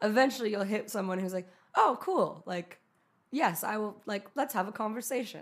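Using a normal speaking voice, a woman with an American accent speaks at a moderate pace, her fairly high pitch showing ordinary variation. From US West (California, Utah). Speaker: photographer and musician. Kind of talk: casual interview chat. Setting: studio.

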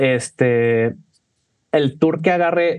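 Very slowly, a man delivers his words. The pitch rises and falls in an ordinary way. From Mexico. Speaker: cocktail bartender. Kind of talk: casual chat.

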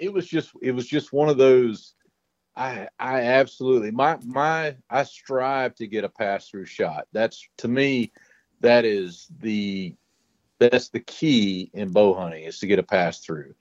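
Recorded with a dry, close sound and no echo, a man at a medium pitch speaks at a fairly slow pace with lively intonation. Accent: Louisiana. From Louisiana. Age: 50s. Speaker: hog trap maker and bowhunter. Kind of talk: casual podcast interview.

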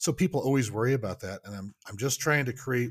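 Over a very clean recording with a silent background, a man uses a normal speaking voice. His pace is fairly quick. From Oklahoma. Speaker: archery researcher. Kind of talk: casual chat.

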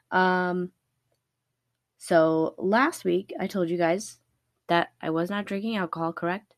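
Speaking slowly at a fairly low pitch, a woman is heard on a very clean recording with a silent background. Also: ordinary pitch variation.

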